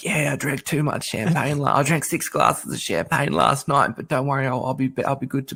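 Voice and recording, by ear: A man's put-on character voice, raspy and croaky, medium-pitched, fairly quick, with fairly even intonation.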